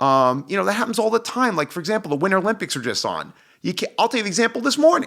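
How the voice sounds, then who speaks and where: At a very fast pace, a man talks in a high-pitched, animated voice with a bright, sharp tone and very wide pitch swings. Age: 40s. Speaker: personal trainer. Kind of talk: casual chat.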